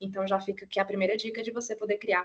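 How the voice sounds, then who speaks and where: A woman in a Cearense accent, fairly high-pitched, with monotone, flat intonation. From Ceará, Brazil. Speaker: professor. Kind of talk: lecture. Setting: video call.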